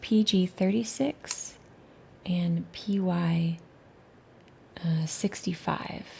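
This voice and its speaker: A woman speaks at a very slow pace with long, frequent pauses. Her dark, mellow tone is somewhat breathy, with ordinary pitch variation. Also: medium pitch for a woman. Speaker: watercolor swatching youtuber. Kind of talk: tutorial.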